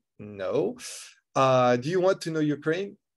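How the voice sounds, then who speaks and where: A man with a French accent at a moderate pace, with ordinary pitch variation. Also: quiet background. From France. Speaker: tech entrepreneur, speaker. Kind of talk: online conference talk. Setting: video call. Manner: halting, many fillers and repetitions.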